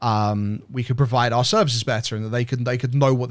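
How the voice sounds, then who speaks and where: A medium-pitched man with a British accent, very fast delivery and fairly even intonation, on a very clean recording with a silent background. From Britain. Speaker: game art director. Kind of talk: interview. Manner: halting, many fillers and repeats.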